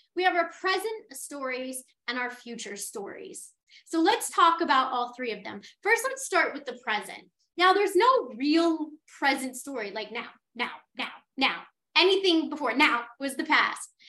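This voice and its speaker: A woman's high, bright and sharp voice, raised and projected, with very wide pitch swings, big shifts in loudness and a fairly slow pace. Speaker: podcast host. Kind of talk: casual, conversational.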